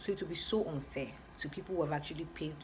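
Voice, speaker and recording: Her words come very fast. The speaker is a woman, and audible room echo fills the space around her. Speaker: skincare vlogger. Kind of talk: tutorial.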